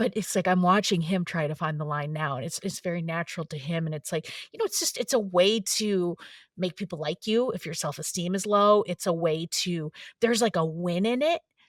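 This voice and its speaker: A woman talks at a fairly quick pace in a fairly low pitch, with ordinary pitch variation. The sound is dry and close with no echo, on a very clean recording with a silent background. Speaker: writer and former stand-up comedian. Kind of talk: interview conversation. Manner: fast, halting with many fillers.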